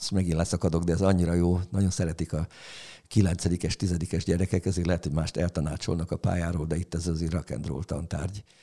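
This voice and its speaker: On a very clean recording with a silent background and a dry, close sound with no echo, a man speaks very fast in a very deep, low pitch with a dark, mellow tone and fairly even intonation. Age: 70s. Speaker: music history teacher. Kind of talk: casual chat.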